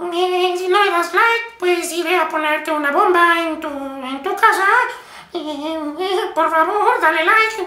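An extremely high-pitched, put-on character voice moves at a fairly slow pace. A slight echo hangs on the sound. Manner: slow, hesitant.

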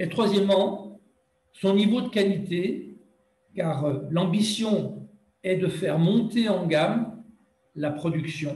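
Long, frequent pauses break up a man's very slow speech, his high voice showing ordinary pitch variation under audible room echo. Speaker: territorial brand representative. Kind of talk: conference presentation.

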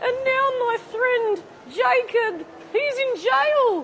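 In a put-on character voice, a woman speaks at an extremely high pitch and a very slow pace over clear background noise.

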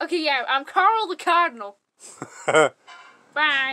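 High in pitch, this cartoonish character voice speaks fairly slowly. The delivery stays unhurried throughout. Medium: puppet.

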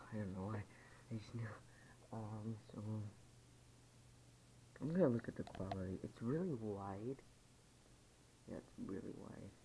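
A man with a fairly low pitch and a dark, mellow, somewhat breathy tone talks at a moderate pace over light background noise. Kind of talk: casual vlog chat. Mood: excited, happy. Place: home room. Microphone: phone near.

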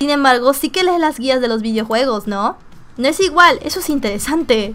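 Speaking at a fairly quick pace, a woman uses a high pitch. Her intonation is lively. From Mexico. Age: 20s. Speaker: gaming streamer. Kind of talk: reading game dialogue aloud.

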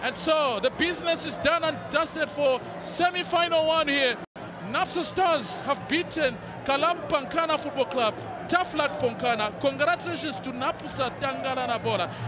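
In a raised, projected voice, a man speaks at a moderate pace with an extremely high pitch and ordinary pitch variation, the sound dry with no echo and the background noise noticeable. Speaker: football commentator. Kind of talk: live football play-by-play commentary. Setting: stadium commentary position. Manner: bursts of excitement at saves and goals. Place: stadium.

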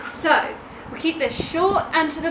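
A woman with a high pitch speaks at a fairly slow pace. Noticeable background noise is present. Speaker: travel vlogger. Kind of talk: casual vlog chat. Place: home room. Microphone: camera far.

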